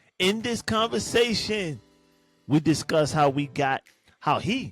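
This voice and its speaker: With music in the background, a man speaks at a fairly slow pace, his pitch swinging very widely. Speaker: podcast host. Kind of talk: podcast intro.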